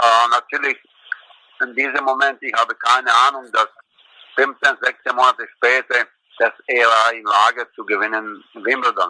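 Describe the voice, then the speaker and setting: Speaking at a fairly slow pace, a man uses a Croatian accent and leaves long, frequent pauses. The sound is dry and close with no echo. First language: Croatian (speaking German). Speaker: former tennis coach. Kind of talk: recorded tribute.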